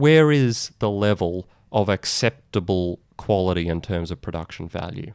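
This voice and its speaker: An Australian accent on a very clean recording with a silent background, the sound dry and close with no echo. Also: man. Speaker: digital marketing podcast host. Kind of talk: solo video podcast monologue.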